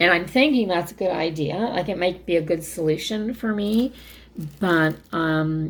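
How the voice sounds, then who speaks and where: A woman speaks in an unremarkable speaking voice at a fairly low pitch. Her pace is moderate and her pitch variation ordinary. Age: 60s. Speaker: craft video creator. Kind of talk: casual chat. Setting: home craft room.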